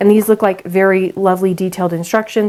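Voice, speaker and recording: A woman speaks in a flat, monotone delivery. Background noise is noticeable throughout. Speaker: sewing youtuber. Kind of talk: tutorial. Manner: casual, conversational.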